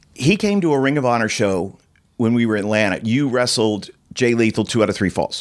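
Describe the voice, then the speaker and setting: Ordinary pitch variation from a man talking at a fairly quick clip. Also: very even loudness. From New York, moved to Florida at nine. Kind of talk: casual interview. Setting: studio.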